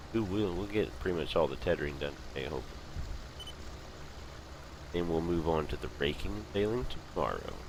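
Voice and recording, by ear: A man with a low voice talks at a fairly quick pace, his intonation lively, broken by long, frequent pauses.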